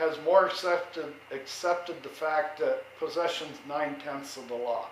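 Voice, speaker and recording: A man with an American accent and a high pitch is heard amid noticeable background noise and audible room echo. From New York. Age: 70s. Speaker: vlogger, retired veteran homeowner. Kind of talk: casual monologue. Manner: loud.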